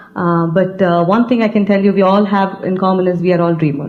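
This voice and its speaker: At a fairly quick pace, a woman talks in a medium pitch over noticeable background noise, with audible room echo. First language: an Indian language. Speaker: business team leader. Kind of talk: stage speech. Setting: stage with audience. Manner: halting.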